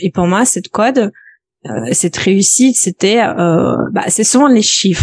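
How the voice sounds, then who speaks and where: A woman's medium-pitched voice with a slight Belarusian accent, moderate pace, ordinary pitch variation, and a dry, close sound with no echo. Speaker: personal finance coach. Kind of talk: podcast interview. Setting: at home office.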